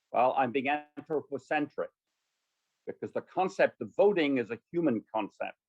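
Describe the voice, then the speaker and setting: Speaking at a moderate pace, a man with a fairly high pitch and vocal fry comes through dry and close, with no echo. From France. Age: 70s. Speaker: scientist. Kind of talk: panel talk.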